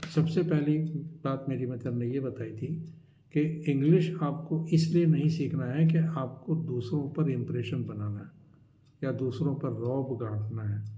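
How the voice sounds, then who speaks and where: The man's voice is fairly high and somewhat breathy, with ordinary pitch variation. Room echo can be heard. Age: 60s. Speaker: life advice YouTuber. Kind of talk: advice talk to camera. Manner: conversational, with hesitations.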